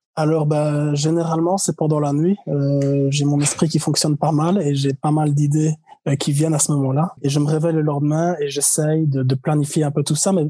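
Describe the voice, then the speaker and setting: A man's fairly quick, fairly high-pitched voice in monotone, flat intonation, with noticeable background noise. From Belgium, Liège. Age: 20s. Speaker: traveler. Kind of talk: casual interview.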